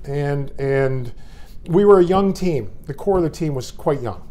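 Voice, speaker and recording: Audible room echo surrounds this man's voice. His tone is dark and mellow. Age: 60s. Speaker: former hockey player and broadcast analyst. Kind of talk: interview. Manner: halting, many repeated words.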